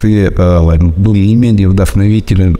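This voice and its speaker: Very deep and low in pitch, a man talks at a very slow pace with monotone, flat intonation. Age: 40s. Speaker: fitness trainer and former miner. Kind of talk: self-recorded testimony. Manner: halting, many fillers.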